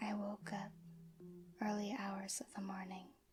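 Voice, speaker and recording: A soft-spoken woman is whispering. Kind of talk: ASMR horror story reading, soft-spoken. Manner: soft-spoken, whispered.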